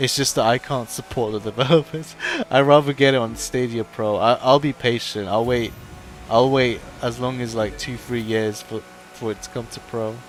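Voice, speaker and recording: With music in the background, a medium-pitched man talks at a moderate pace with fairly even intonation. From London. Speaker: gaming streamer. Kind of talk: live gameplay commentary. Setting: livestream.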